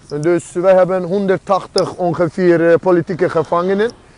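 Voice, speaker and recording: A man's high voice at a very slow pace, dry with no echo. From Azerbaijan. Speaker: political activist and street interviewer; street interviewer. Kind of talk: street interviews and political monologue. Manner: animated. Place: street. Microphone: earbuds.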